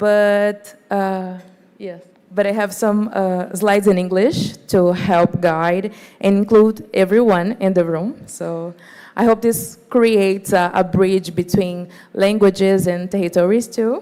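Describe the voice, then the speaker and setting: A woman speaks at a very slow pace. Her medium pitch holds a fairly even intonation. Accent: Portuguese. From Brazil, São Paulo periphery. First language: Portuguese. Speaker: environmental activist, NGO executive director. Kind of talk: conference presentation.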